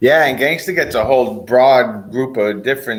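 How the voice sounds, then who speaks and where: A man's medium-pitched voice with a Boston accent, lively intonation and a moderate pace. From Boston, US. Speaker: streamer guest. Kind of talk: casual chat.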